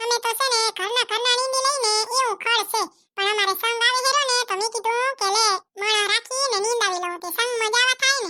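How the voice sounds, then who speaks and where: A woman does a cartoonish character voice at an extremely high pitch. Her pace is moderate, her intonation fairly even, and her loudness very even. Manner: warm, chatty.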